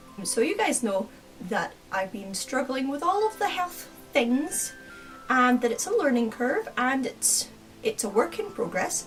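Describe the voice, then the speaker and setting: Music plays in the background as a woman speaks in a Scottish accent. Her high pitch moves in very wide swings at a moderate pace. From Scotland. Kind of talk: casual talk to camera.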